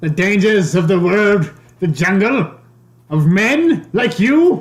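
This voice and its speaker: A man puts on a character voice, high in pitch and delivered at a fairly slow pace. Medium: actual play. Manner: menacing, demanding.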